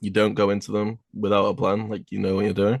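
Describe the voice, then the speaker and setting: With a British accent, a man speaks at a moderate pace and a fairly low pitch. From UK. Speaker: airsoft team captain. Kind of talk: casual chat.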